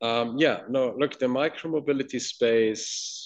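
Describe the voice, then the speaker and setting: A man with an American accent at a fairly slow pace, against a quiet background. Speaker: venture capital investor. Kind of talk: casual interview chat. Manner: fluent with frequent fillers.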